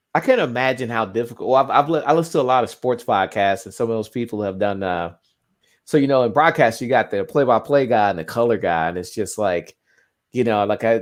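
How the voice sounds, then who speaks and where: Over a quiet background, a man speaks at a very fast pace with a medium pitch. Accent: Southern US. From US South. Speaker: sports fan co-commentator. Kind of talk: casual chat. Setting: live stream watchalong.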